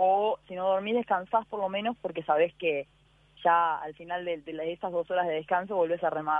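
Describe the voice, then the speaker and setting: At a moderate pace, a woman talks in an unremarkable speaking voice, fairly low in pitch with fairly even intonation. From Uruguay. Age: 20s. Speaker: ocean rower. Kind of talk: interview.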